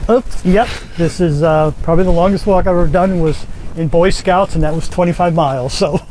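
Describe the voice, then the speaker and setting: Noticeable background noise runs under a man with a high pitch. His loudness stays very even. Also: fairly even intonation, fairly quick pace. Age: 60s. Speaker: climate activist. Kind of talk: interview.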